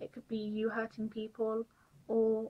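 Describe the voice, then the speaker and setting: A woman with a British accent speaks in a fairly high, somewhat breathy voice. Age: 20s. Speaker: vlogger sharing mental health experience. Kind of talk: personal vlog testimony.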